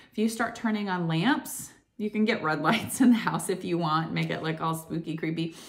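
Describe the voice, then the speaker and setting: Against a quiet background, a woman speaks in a fairly low voice with lively intonation. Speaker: wellness vlogger. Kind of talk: casual vlog chat. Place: home room. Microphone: phone near.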